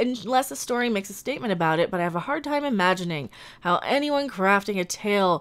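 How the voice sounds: Lively intonation runs through the speech. It is a natural reading voice.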